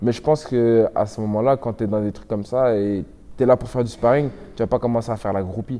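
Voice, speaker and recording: The man's voice sits at a medium pitch. He speaks fairly quickly. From Belgium. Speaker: MMA fighter. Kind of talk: interview. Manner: animated.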